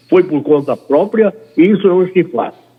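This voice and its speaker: This man's voice sits high in pitch, with lively intonation. He talks at a fairly slow pace. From Brazil, Bahia. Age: 90s. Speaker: veteran journalist. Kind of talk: interview, personal recollection.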